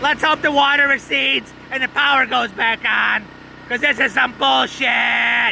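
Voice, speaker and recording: A man performs a cartoonish character voice at an extremely high pitch. Clear background noise is audible. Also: moderate pace. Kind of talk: mock live news report. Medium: puppet. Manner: hesitant, full of ums.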